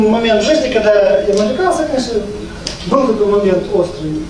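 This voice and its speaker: In an animated tone with ordinary pitch variation, the speaker keeps a moderate pace amid audible room echo and light background noise. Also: man. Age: 50s. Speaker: network marketing leader. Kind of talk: business presentation. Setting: live event with microphone, audience. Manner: animated, persuasive. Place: meeting room.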